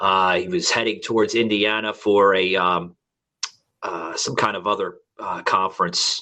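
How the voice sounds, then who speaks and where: A man is speaking. He has a New York accent. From New York City. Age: 40s. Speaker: podcast host. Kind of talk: casual chat. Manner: halting.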